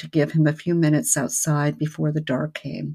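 This woman speaks with a very deep, low pitch. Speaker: podcast co-host and family therapist. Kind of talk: casual live podcast chat. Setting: live online broadcast.

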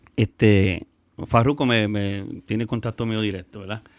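Very slow in pace, a man talks with fairly even intonation at a fairly low pitch. The recording is very clean, with a silent background. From Puerto Rico. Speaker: reggaeton artist. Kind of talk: casual chat. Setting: studio.

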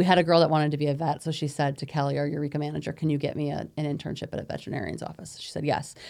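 A woman with an American accent talks very fast at a very deep, low pitch with vocal fry and hardly any pauses. Her intonation is monotone and flat. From Capital Region, New York. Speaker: non-profit executive director. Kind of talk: interview.

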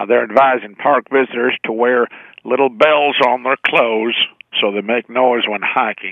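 A man speaks with an American accent at medium pitch. His intonation stays monotone and flat. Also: moderate pace. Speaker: radio caller. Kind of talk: casual phone chat. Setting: phone call. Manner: halting, many fillers.

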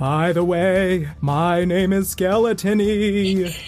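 A playful put-on character voice at a very slow pace, with clear background noise. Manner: spooky, playful.

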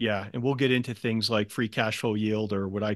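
A man talks at a fairly quick pace in a normal speaking voice, with ordinary pitch variation, a dry, close sound with no echo and a quiet background. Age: 50s. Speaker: podcast host and equity investor. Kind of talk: interview.

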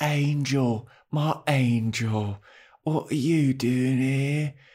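A man uses a put-on character voice at a very slow pace. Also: medium pitch for a man, very clean recording, silent background.

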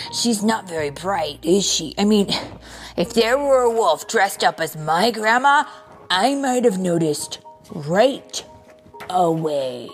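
Over clear background music, a woman uses a put-on character voice at medium pitch and a fairly slow pace. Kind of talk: comic picture-book voice. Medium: read story. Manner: eager, questioning.

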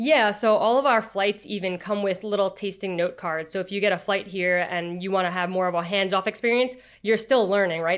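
With a New York accent, a woman talks at a fairly quick pace and fairly even intonation in a very clean recording with a silent background. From Long Island, New York. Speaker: winery creative director. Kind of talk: interview.

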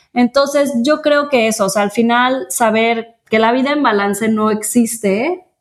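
Her voice sits fairly high, and this woman uses ordinary pitch variation. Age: 30s. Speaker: podcast co-host. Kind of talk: casual chat.

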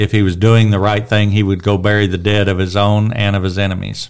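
A man with a plain, everyday voice speaks at a fairly low pitch and keeps his intonation fairly even. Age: 60s. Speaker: church Bible teacher. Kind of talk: Bible study discussion.

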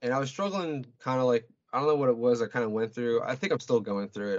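A man talks in an unremarkable speaking voice. It is medium in pitch, with ordinary pitch variation. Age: 30s. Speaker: guest in recovery from addiction. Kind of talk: casual chat.

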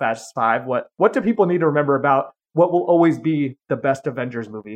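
This man has an unremarkable speaking voice with a fairly high pitch. He talks at a fairly quick pace with lively intonation. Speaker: podcast host. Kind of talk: casual conversational podcast. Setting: video call.

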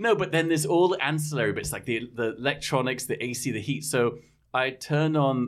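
At a moderate pace, a man talks in an English accent. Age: 50s. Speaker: podcast host. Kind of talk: casual chat.

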